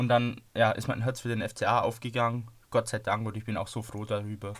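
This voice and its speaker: The delivery is monotone and flat in intonation, captured in a very clean recording with a silent background. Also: man. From Donau-Ries, Bavaria. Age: 20s. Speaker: football podcaster. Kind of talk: casual chat.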